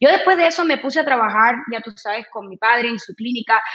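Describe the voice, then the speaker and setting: Her high-pitched voice shows ordinary pitch variation as the woman speaks. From Cuba. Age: 40s. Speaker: radio personality and insurance saleswoman. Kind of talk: interview. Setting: video call from home.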